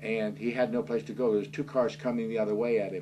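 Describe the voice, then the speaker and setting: A man with an American accent talks at a fairly quick pace and a medium pitch. His lively intonation carries some vocal fry. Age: 70s. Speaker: author. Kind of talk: interview. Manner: halting.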